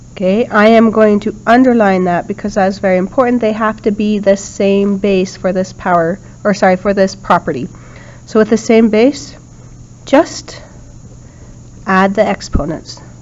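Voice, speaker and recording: A woman's voice, with ordinary pitch variation, sits against noticeable background noise. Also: medium pitch for a woman, moderate pace. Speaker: math teacher. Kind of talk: lecture. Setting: recorded video lesson.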